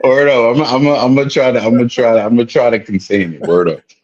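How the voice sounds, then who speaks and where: Talking at a very fast pace with a New York accent, a man keeps a medium pitch, ordinary pitch variation and very even loudness. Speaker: interview guest. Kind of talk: casual street slang.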